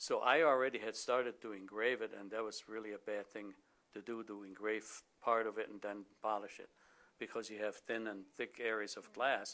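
A man has a bright, sharp tone and fairly even intonation. He speaks at a moderate pace. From Austria. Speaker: glass engraver. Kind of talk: interview answer. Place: office. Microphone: lapel.

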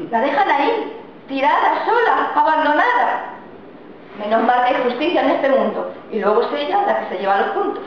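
Strong room echo and light background noise accompany a woman speaking high at a moderate pace. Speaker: comic performer. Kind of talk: comic monologue. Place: empty room. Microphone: camera far.

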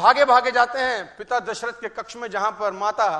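At a moderate pace, a man raises and projects his voice in an animated, bright, sharp tone. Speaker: motivational speaker. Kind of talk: motivational talk.

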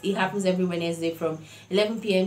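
Her pace is moderate as the woman talks. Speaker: vlogger. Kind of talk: casual vlog chat. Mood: cheerful, upbeat. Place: home room. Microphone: lapel.

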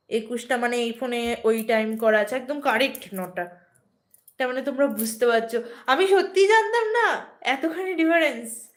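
The voice belongs to a woman and sits high in pitch. Lively intonation runs through her speech. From West Bengal, Nadia district (Ranaghat). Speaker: vlogger. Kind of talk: live stream chat.

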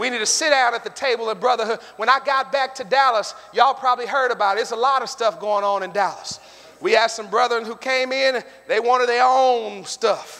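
A man with an American accent talks at a fairly quick pace in a raised, projected voice, extremely high in pitch with ordinary variation. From US. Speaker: preacher. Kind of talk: sermon. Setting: church; stage with audience. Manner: animated; call-and-response. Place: church. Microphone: podium.

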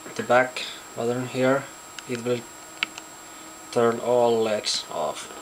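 Very slow speech in a non-native accent over light background noise. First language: not English. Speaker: electronics hobbyist. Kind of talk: casual project demo to camera. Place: home room. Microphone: phone near.

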